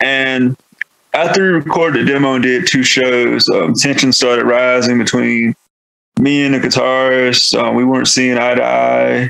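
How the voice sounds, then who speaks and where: A man with a Southern US accent talks at a moderate pace in a medium pitch. His intonation is fairly even and his loudness very even. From North Carolina, US South. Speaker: metal band vocalist. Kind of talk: podcast interview. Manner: casual, filler-heavy.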